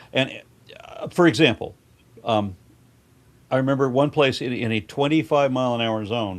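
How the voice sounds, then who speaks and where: A medium-pitched man speaks with long, frequent pauses. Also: ordinary pitch variation, moderate pace. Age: 60s. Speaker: podcast guest. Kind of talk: casual political chat. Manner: animated.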